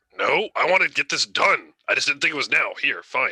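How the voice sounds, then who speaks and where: This man puts on a character voice at an extremely high pitch. It comes out raspy and at a fairly quick pace. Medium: actual play. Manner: blunt, terse.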